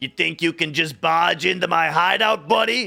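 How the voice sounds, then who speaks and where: Putting on a character voice with a Boston accent, a man speaks at a moderate pace and a fairly high pitch. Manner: belligerent, gruff.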